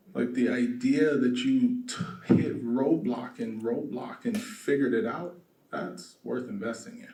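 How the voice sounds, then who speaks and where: Soft-spoken, a man talks at a fairly slow pace with big swings in loudness and audible room echo. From South Los Angeles. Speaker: real estate developer. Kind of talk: conference talk.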